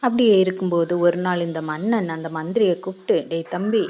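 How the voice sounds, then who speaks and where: Noticeable background noise behind a woman with a fairly low pitch and ordinary pitch variation. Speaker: storyteller. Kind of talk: storytelling. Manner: casual, conversational.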